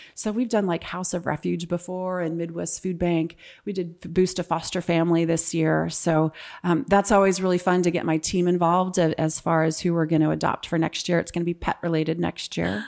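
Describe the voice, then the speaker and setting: A woman with a normal speaking voice speaks in an American accent at a fairly low pitch. She goes at a fairly quick pace with fairly even intonation, on a very clean recording with a silent background. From California. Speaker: estate planning attorney. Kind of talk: casual interview.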